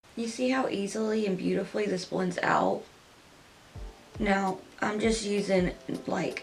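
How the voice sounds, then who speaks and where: A soft-spoken woman at a fairly slow pace, fairly even intonation and long, frequent pauses, with music in the background. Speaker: beauty youtuber. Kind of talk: makeup tutorial. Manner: soft-spoken, talking quietly; loud by habit.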